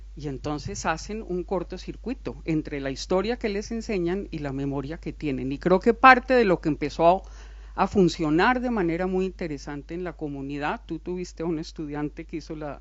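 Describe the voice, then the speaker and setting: A woman with a Colombian accent talks at a moderate pace with hardly any pauses, her loudness swinging widely. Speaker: academic speaker at a book presentation. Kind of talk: panel discussion.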